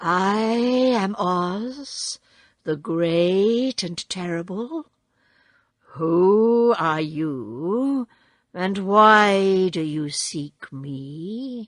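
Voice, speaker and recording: A woman speaks very slowly in a put-on character voice at a medium pitch. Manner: imposing, booming yet quiet.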